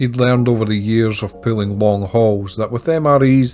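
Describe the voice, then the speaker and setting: Over music in the background, a man speaks at a moderate pace. His voice is fairly low, with a strong Scottish accent. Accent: broad Scottish. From Scotland. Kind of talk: audiobook narration.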